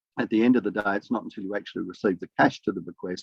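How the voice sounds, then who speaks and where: This man talks with an Australian accent. His pitch sits fairly low. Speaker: academic researcher. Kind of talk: conference presentation. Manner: fast.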